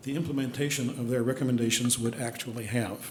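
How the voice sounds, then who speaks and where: A man's medium-pitched voice at a very fast pace, with noticeable background noise. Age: 70s. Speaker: public commenter, landlord. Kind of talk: public comment at council meeting. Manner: formal.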